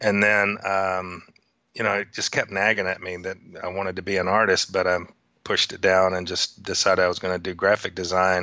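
A man talks with a Texan accent. His very deep, low voice stays monotone and flat. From Texas. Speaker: neon sign artist. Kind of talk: interview.

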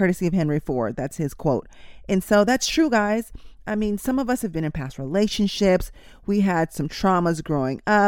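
A woman speaks at a medium pitch, her tone warm and animated, with very wide swings in pitch. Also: moderate pace. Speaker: nurse podcast host. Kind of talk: pep talk. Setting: studio podcast. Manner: warm, direct, encouraging; animated, motivational, urging listeners to repeat affirmations.

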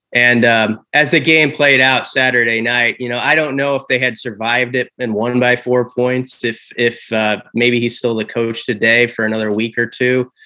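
With a Midwestern American accent, a man talks at a moderate pace with hardly any pauses, medium in pitch, bright and sharp in tone, and monotone, flat in intonation. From Nebraska, Omaha. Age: 40s. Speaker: college football reporter. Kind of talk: casual interview.

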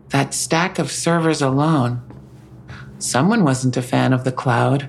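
A woman puts on a character voice, pitched extremely low with vocal fry. She talks at a fairly slow pace, her pitch varying in an ordinary way.

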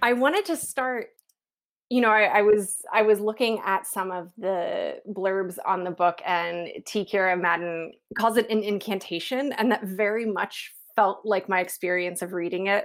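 A woman speaks with an American accent at a medium pitch and a moderate pace, her pitch varying in an ordinary way. The recording is very clean, with a silent background. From West Virginia. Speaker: podcast host. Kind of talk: interview conversation. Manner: halting, many fillers.

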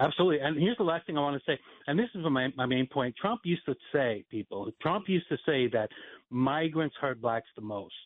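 With an American accent, a man talks at a fairly quick pace in an ordinary speaking voice, fairly high in pitch and lively in intonation. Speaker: caller. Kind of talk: casual chat. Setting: phone call.

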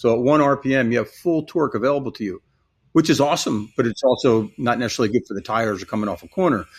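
Very fast and lively in intonation, a man speaks at medium pitch with an American accent in a very clean recording with a silent background. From US Northeast, New Jersey. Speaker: EV powertrain company representative. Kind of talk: casual interview.

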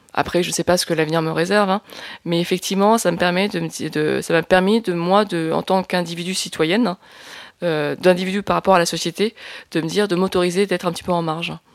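A woman speaks very fast at a fairly low pitch. Her intonation is monotone and flat. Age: 40s. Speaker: filmmaker and activist. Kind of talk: testimony. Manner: hesitant, many fillers and repetitions.

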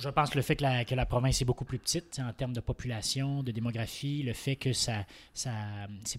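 The voice is somewhat breathy, with fairly even intonation and a fairly quick pace, in a very clean recording with a silent background and a dry, close sound with no echo. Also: man. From Quebec, Saint-Hyacinthe. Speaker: political commentator and law student. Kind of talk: casual political panel discussion.

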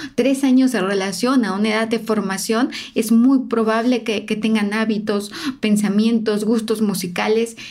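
Her voice fairly high, a woman talks at a fairly slow pace in a flat, monotone way. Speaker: body language analyst and podcast host. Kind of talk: narrated analysis of interview footage.

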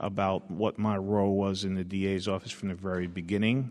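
Speaking with an American accent, a man keeps a fairly low pitch, fairly even intonation and a moderate pace. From Brooklyn, New York. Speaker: district attorney. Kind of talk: panel interview answers. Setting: live event with audience. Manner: hesitant, filler-heavy.

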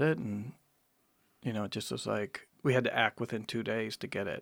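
An unremarkable speaking voice from a man with an American accent, medium pitch and fairly even intonation at a moderate pace, in a very clean recording with a silent background. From Wisconsin. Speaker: artist and curator. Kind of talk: casual interview.

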